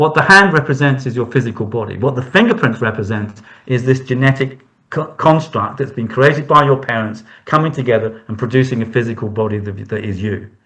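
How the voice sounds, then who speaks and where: In an ordinary speaking voice, a man talks at a fairly quick pace and medium pitch with ordinary pitch variation. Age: 60s. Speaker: hand reader. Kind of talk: interview.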